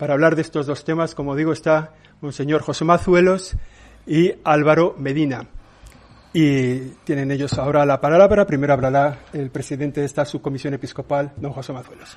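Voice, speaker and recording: A man with a plain, everyday voice speaks at a moderate pace, his fairly high pitch held in fairly even intonation. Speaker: church press spokesman. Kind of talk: press conference moderation. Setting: press conference room.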